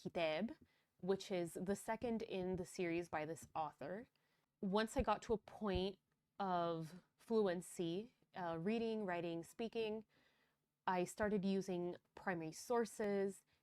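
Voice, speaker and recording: Pitch varies in an ordinary way as the speech unfolds fairly slowly. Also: woman. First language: Spanish. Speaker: language teacher. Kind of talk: tutorial. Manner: casual.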